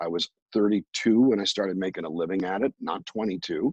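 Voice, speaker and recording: A man with a normal speaking voice and a fairly low pitch talks with ordinary pitch variation in a dry, close sound with no echo. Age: 60s. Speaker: singer-songwriter and voice actor. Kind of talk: interview.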